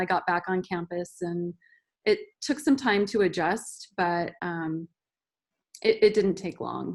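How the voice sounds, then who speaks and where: A woman with a plain, everyday voice and medium pitch speaks at a fairly slow pace on a very clean recording with a silent background. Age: 40s. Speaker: transfer student panelist. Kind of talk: panel discussion.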